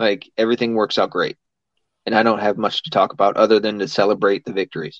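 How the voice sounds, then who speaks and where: Very fast and fairly even in intonation, a man speaks with a fairly low pitch. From US South. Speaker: podcast host. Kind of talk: casual chat.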